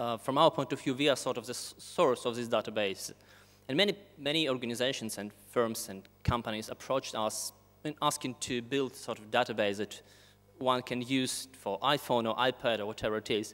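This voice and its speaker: The pace is fairly quick, and the pitch variation is ordinary. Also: man. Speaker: speaker. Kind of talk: conference talk. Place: hall. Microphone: podium.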